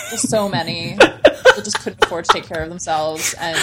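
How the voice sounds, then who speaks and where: The woman speaks fairly quickly while noticeable background noise carries on behind her. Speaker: sex educator. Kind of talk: casual chat. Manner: playful.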